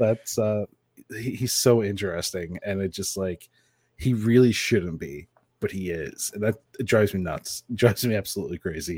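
A man with an ordinary speaking voice, fairly low in pitch, at a moderate pace with ordinary pitch variation, in a dry, close sound with no echo, on a very clean recording with a silent background. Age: 30s. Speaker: games journalist. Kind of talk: casual chat.

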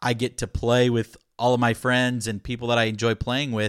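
A man speaks at a moderate pace in a medium pitch, recorded dry and close with no echo against a very clean, silent background. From Florida, US. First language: Spanish. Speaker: listener and amateur musician. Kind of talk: casual interview chat.

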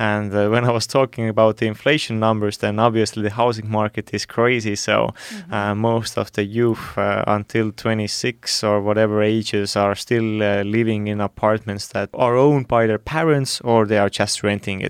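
The sound is dry and close with no echo as a man with an Estonian accent talks at a moderate pace, hardly pausing. His pitch is fairly low and his intonation fairly even. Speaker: youth council board member. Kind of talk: panel discussion. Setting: studio.

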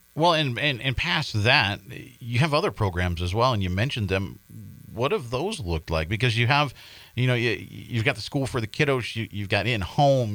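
With an ordinary speaking voice, a man talks at a fairly quick pace and medium pitch with lively intonation in a very clean recording with a silent background. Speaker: radio host. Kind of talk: casual chat. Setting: studio.

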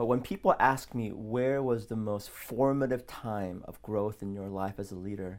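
A man speaks in a plain, everyday voice at a fairly low pitch, with fairly even intonation but big swings in loudness. His pace is moderate with hardly any pauses, and the recording is very clean with a silent background. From South Korea, raised in US from age six. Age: 40s. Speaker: pastor. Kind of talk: casual interview.

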